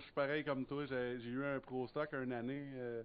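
A man with a Quebec accent speaks at a fairly slow pace. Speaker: racing podcast co-host. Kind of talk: casual chat.

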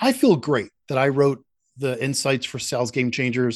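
A man speaks with an American accent in a normal speaking voice, fairly high in pitch. His pace is moderate against a quiet background. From Philadelphia. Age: 60s. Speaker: sales institute founder and author. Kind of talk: podcast interview.

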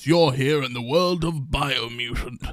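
A man puts on a character voice with a dramatic tone. He speaks at a fairly slow pace and medium pitch. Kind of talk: Shakespearean, theatrical. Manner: grand, dramatic.

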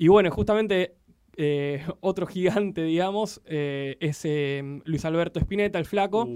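Speech at a fairly slow pace, delivered with a Rioplatense accent. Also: man, high pitch for a man, ordinary pitch variation. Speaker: radio host. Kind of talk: casual chat.

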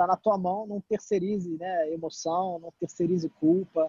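A man's high-pitched voice with a dark, mellow tone and fairly even intonation, dry and close with no echo. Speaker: startup CEO, former footballer. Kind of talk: casual chat.

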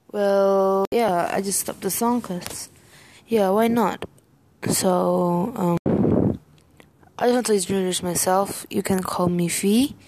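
A woman speaks at a very slow pace with a medium pitch and fairly even intonation. Noticeable background noise can be heard. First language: not English. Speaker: amateur podcaster. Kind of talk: casual monologue. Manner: halting.

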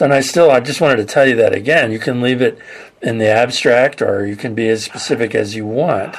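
This is a man with an unremarkable speaking voice and an American accent. He talks at a fairly quick pace with ordinary pitch variation. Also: medium pitch for a man. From California. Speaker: podcast host. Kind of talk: interview.

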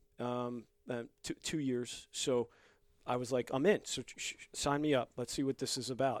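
Speaking with a New York accent, a man keeps his intonation fairly even at a medium pitch, and the sound is dry and close with no echo. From New York (Bronx, Long Island). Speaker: gym member, military veteran. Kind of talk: casual chat.

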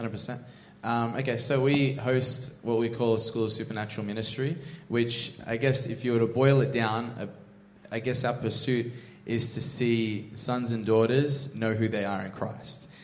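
Noticeable background noise and audible room echo accompany a man with an Australian accent who speaks at medium pitch and a moderate pace in a monotone, flat way. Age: 20s. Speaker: church minister. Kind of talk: casual interview.

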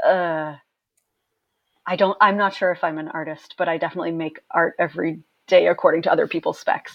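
Speaking with an American accent, a woman uses a fairly low pitch and fairly even intonation. Her pace is fairly quick, broken by long, frequent pauses. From Maine, US. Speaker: photographer. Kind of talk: casual interview chat.

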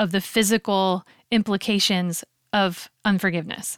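A woman speaks in a normal speaking voice at a medium pitch and a fairly slow pace. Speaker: podcast host and singer. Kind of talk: casual chat.

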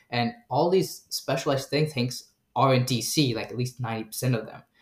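At a moderate pace, a somewhat breathy voice speaks with an American accent. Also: man. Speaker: graduate student. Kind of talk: casual chat.

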